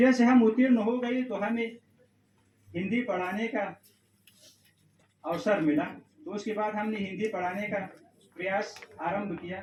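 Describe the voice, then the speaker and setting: Long, frequent pauses break up this man's speech. His voice is high, with ordinary pitch variation. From Afghanistan. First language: Pashto (speaking Hindi). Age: young. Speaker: Hindi lecturer and PhD researcher. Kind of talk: formal speech at an event. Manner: formal.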